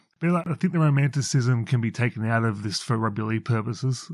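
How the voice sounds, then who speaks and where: With an Australian accent, a man talks at a very fast pace and ordinary pitch variation. The background is quiet. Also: hardly any pauses. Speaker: co-host. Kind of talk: casual chat.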